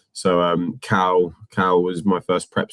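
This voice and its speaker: A man with a West Country accent, in a dry, close sound with no echo. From England, North Devon. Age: 20s. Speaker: Amazon reseller. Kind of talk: casual interview. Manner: halting.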